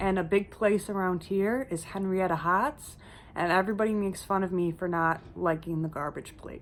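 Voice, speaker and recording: A woman speaks at a medium pitch with ordinary pitch variation in an ordinary speaking voice. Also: moderate pace. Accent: American. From US East Coast, mainly Philadelphia area. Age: 20s. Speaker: YouTuber. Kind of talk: Q&A vlog, casual. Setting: home, sitting by a windowsill.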